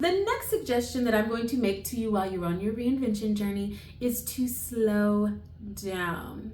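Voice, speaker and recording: With audible room echo around her, a woman speaks at a moderate pace in a fairly high voice with ordinary pitch variation. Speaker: lifestyle vlogger. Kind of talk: motivational talk.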